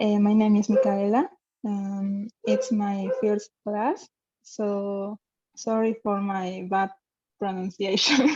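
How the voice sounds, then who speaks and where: The voice moves at a very slow pace with fairly even intonation. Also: woman, medium pitch for a woman. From Bolivia, Santa Cruz. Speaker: language student. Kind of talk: class introduction. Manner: halting.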